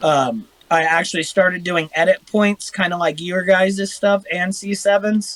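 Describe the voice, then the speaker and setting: A man's high pitch and Midwestern American accent, fairly slow pace, hardly any pauses and fairly even intonation. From Ohio. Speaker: airsoft YouTuber. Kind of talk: casual chat.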